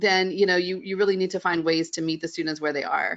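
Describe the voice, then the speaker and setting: A woman with a fairly low pitch speaks with a slight Southern US accent and fairly even intonation. The background is quiet. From West Virginia. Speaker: middle school art teacher. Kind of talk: webinar interview.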